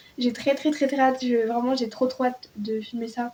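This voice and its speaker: A woman's high-pitched voice with ordinary pitch variation, over noticeable background noise. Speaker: book YouTuber. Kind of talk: casual vlog talk.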